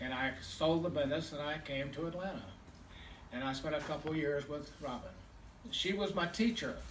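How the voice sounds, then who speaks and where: The room echo is audible around a man's fairly high voice. He leaves long, frequent pauses. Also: ordinary pitch variation, moderate pace. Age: 80s+. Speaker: memorial speaker, businessman. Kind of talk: eulogy.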